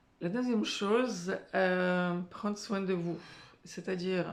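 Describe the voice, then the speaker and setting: A woman talks very slowly in a fairly low pitch, with ordinary pitch variation. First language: not French (speaking French). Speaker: career and life coach. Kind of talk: motivational talk to camera. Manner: hesitant, many filler sounds.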